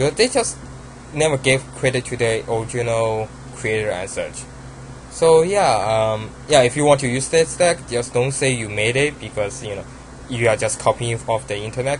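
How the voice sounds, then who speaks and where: Over noticeable background noise, a man with a Chinese accent speaks at a moderate pace, his medium pitch showing ordinary variation. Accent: Asian accent (Chinese). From China. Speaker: card game YouTuber. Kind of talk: casual deck profile talk. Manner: halting, many fillers.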